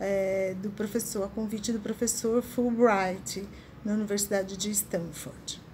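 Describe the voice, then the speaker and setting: A woman speaks very slowly in a somewhat breathy voice with a dark, mellow tone. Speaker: interviewer, host. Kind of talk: interview introduction.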